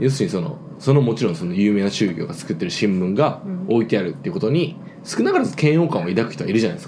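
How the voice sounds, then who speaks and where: Amid noticeable background noise and audible room echo, a man races along at a very fast pace with very wide pitch swings. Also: medium pitch for a man. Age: 20s. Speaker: podcast host and server-side engineer. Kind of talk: casual chat. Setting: home recording with drinks.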